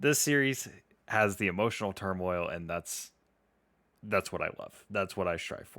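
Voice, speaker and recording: A man puts on a raspy character voice, fairly low in pitch, at a moderate pace with long, frequent pauses. The recording is very clean, with a silent background. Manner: earnest, passionate.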